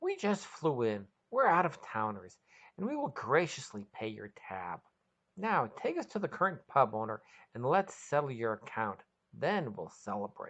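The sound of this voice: Using a put-on character voice, a woman speaks at an extremely low pitch with a fairly bright tone, a slightly husky edge, big pitch swings and a moderate pace.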